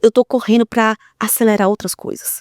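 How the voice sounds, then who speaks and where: Very cleanly recorded with a silent background and a dry, close sound with no echo, a woman speaks in a fairly high pitch with an animated tone. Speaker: speaker and podcast host. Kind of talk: casual monologue to audience. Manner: fast.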